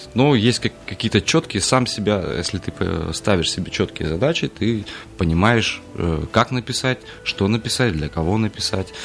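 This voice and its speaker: Noticeable background noise surrounds a man speaking at a moderate pace in a fairly low voice. His intonation is lively, with long, frequent pauses. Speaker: singer and composer. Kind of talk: radio interview. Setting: studio.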